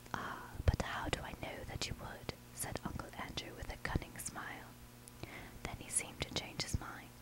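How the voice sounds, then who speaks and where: The words are whispered at a moderate pace. Background noise is noticeable throughout. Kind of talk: audiobook reading of a children's novel.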